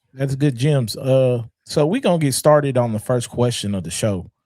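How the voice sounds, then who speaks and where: The recording is very clean, with a silent background. A man with a dark, mellow tone speaks at a fairly quick pace with lively intonation. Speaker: podcast host. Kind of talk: casual chat. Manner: animated, passionate.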